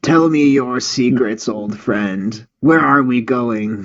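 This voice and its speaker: In a raspy, put-on character voice, the speaker goes at a very slow pace with ordinary pitch variation. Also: man, medium pitch for a man. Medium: read story. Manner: slow, cryptic.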